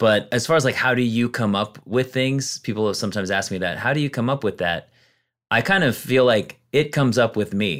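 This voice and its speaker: A man speaks at a medium pitch. His is a normal speaking voice. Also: ordinary pitch variation, fairly quick pace. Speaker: comedian. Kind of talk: casual chat.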